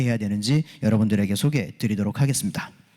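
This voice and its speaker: A very fast man with lively intonation and a dark, mellow tone, in a very clean recording with a silent background and a dry, close sound with no echo. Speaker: security engineer and conference speaker. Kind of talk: conference presentation. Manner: fast, hurried; frequent filler 'eo' hesitations.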